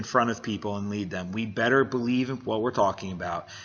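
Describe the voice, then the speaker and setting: Very fast delivery with ordinary pitch variation. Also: man. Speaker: business coach and vlogger. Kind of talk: motivational monologue. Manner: halting.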